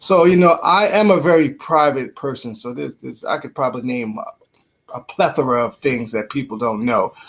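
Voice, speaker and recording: A man with a New York accent speaks at a moderate pace in a fairly high pitch, his intonation lively. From New York (Bronx). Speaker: radio host and motivational speaker. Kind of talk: casual podcast interview.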